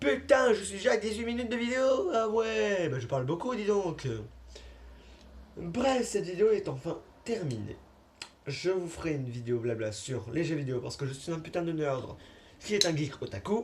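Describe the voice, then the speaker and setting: In a room with audible echo, a man with a high-pitched voice swings very widely in pitch and takes long, frequent pauses. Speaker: YouTuber. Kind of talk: casual vlog monologue. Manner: fast.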